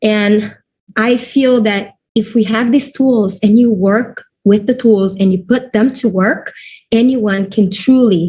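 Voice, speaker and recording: At a fairly slow pace, a woman with a Portuguese accent speaks in a dark, mellow tone, somewhat breathy and very even in loudness. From Brazil. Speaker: network marketing distributor. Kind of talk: webinar presentation. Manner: halting.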